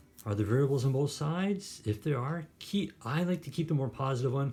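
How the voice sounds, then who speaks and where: A man talks at a fairly quick pace with lively intonation and a dark, mellow, somewhat breathy tone. The recording is very clean, with a silent background. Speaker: math teacher. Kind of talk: tutorial. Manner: fast.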